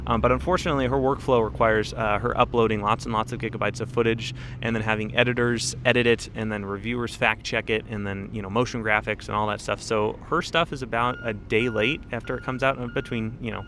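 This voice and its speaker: The speech races at a very fast pace with hardly any pauses and fairly even intonation. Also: man, medium pitch for a man. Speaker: live streamer and content creator. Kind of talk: casual live-stream chat. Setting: live stream on location, not in studio.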